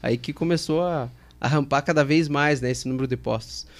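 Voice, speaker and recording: An ordinary speaking voice, a man at a fairly high pitch on a very clean recording with a silent background. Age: 20s. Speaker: fuel station chain operations director. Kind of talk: casual interview.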